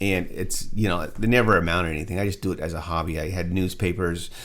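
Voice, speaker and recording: A man with a very deep, low voice, speaking fairly quickly amid audible room echo. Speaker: media entrepreneur and content creator. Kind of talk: screen-share tutorial. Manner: halting; casual.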